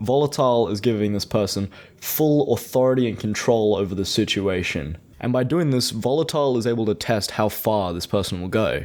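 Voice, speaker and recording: A normal speaking voice moves at a fairly quick pace. Its pitch varies in an ordinary way. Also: man, medium pitch for a man. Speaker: commentary YouTuber. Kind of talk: drama commentary narration.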